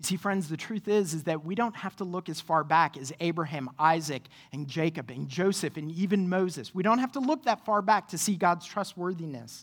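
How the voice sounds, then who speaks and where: A woman's ordinary speaking voice, fairly low in pitch, with lively intonation, a fairly quick pace and hardly any pauses. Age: 30s. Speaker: pastor. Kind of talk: sermon. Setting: church.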